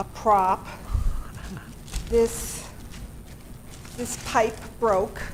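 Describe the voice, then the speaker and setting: A woman's very slow, monotone, flat delivery over noticeable background noise. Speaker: library director. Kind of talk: public meeting presentation. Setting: city committee meeting. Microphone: too far from mic.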